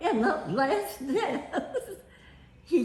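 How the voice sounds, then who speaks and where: A woman with an American accent speaks at a very slow pace with very wide pitch swings, and there is audible room echo. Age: 80s+. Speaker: family elder telling her life story. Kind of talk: storytelling. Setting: family reunion.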